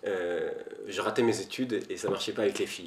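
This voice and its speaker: There's noticeable noise in the background. The man's pace is fairly quick. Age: 30s. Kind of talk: interview testimony. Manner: hesitant, many fillers.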